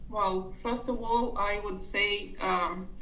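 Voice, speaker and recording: Noticeable background noise and audible room echo are heard as a woman speaks with a non-native accent. Her intonation stays fairly even. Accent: foreign. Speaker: online business coaching member. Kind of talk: interview.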